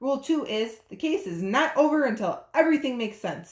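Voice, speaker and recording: A woman puts on a character voice pitched high. She delivers it at a fairly quick pace. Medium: read story.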